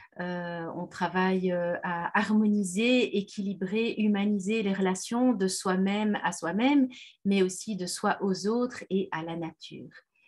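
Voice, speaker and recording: This woman talks at a very slow pace, her voice somewhat breathy and medium in pitch. Her intonation stays fairly even. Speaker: parenting trainer and therapist. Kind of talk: webinar presentation. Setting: video webinar.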